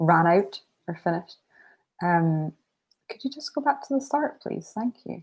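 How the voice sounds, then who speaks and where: A woman speaks at a fairly slow pace with a fairly low, somewhat breathy voice. Her pitch swings very widely. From northeast Scotland, Aberdeen. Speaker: writing streamer. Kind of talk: casual live stream chat. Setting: live stream from home. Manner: casual, many filler words.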